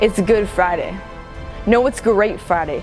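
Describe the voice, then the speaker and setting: A woman speaks at a fairly high pitch, with ordinary pitch variation. Music plays in the background. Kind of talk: spoken word poetry performance. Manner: impassioned, testimonial.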